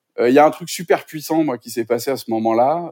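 Captured in a very clean recording with a silent background, a man with a fairly high pitch speaks with ordinary pitch variation. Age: 40s. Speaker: sustainability coach. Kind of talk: interview conversation. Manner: halting, many repetitions and fillers.

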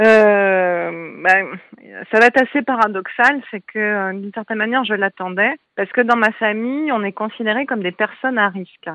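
At a moderate pace, a woman with a bright, sharp tone and fairly high pitch uses ordinary pitch variation and big swings in loudness, the sound dry and close with no echo. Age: 40s. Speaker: artist and breast cancer survivor. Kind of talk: interview testimony. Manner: hesitant, many fillers.

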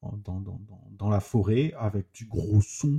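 Very slowly, a man speaks with a fairly low pitch and a dark, mellow tone. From southern France, Toulouse. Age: 30s. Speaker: trauma survivor giving testimony. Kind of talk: personal testimony. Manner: halting, repetitive.

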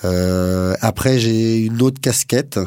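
The man's tone is dark and mellow. His pitch is fairly low. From Paris suburbs, France. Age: 40s. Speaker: cheesemaker, former railway engineer. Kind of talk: interview. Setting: studio.

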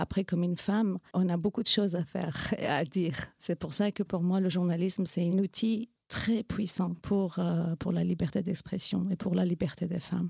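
A somewhat breathy woman's voice at medium pitch with a Kurdish accent, fairly even intonation and a moderate pace, in a dry, close sound with no echo. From Iranian Kurdistan. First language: Kurdish (speaking French). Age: 40s. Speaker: NGO founder and women's rights activist. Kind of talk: interview testimony. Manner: hesitant, frequent fillers.

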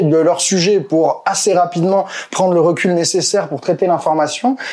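This man's voice sits high in pitch, and his pitch varies in an ordinary way. He keeps a moderate pace as noticeable background noise plays behind him. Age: 30s. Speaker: political YouTuber. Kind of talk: casual interview.

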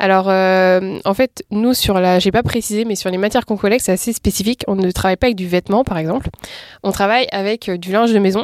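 A woman at a medium pitch in a plain, everyday voice, fairly quick and fairly even in intonation, with a dry, close sound with no echo and a very clean recording against a silent background. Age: 20s. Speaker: entrepreneur. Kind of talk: interview.

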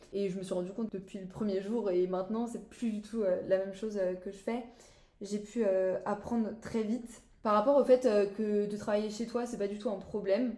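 A woman's dark, mellow voice, monotone and flat in intonation, with audible room echo. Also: medium pitch for a woman, moderate pace. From France, Brittany (Saint-Malo). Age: young. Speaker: student apprentice. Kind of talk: casual chat.

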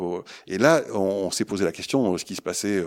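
A man with a fairly low pitch uses a normal speaking voice at a moderate pace with ordinary pitch variation. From southwest France, Pau. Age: 60s. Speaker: social entrepreneur. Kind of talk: interview.

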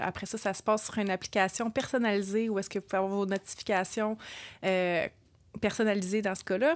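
Very clean and recorded against a silent background, a woman speaks at a fairly quick pace and medium pitch with fairly even intonation. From Quebec, Repentigny. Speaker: podcast co-host, wellness community founder. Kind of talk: casual chat.

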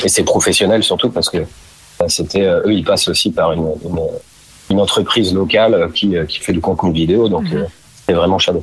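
A man talks at a fairly quick pace but leaves long, frequent pauses. Noticeable background noise runs underneath. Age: 30s. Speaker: store manager. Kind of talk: interview. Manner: halting.

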